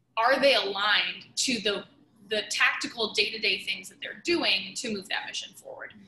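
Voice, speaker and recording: The woman's voice carries an audible room echo and light background noise. She speaks at a fairly quick pace. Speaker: podcast guest, sales leader. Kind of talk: interview answer. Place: home room. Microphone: video call.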